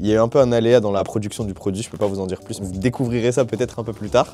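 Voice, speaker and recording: A man speaking at a very fast pace, fairly low in pitch, over noticeable background noise. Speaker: sneaker and basketball vlogger. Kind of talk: travel vlog. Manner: animated.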